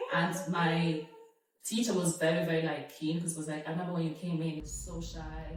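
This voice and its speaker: A woman talks at a fairly quick pace in a fairly low, monotone, flat voice. The room echo is audible. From Italy, Nigerian household. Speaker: actress. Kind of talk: casual chat.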